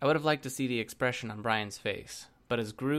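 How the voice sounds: In a natural reading voice, the speaker shows ordinary pitch variation.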